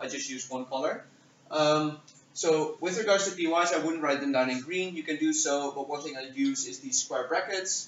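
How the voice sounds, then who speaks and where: The speaker has a non-native accent and a fairly quick pace. Background noise is noticeable. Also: man. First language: not English. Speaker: debate judge. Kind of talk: workshop lecture. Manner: hesitant, many fillers.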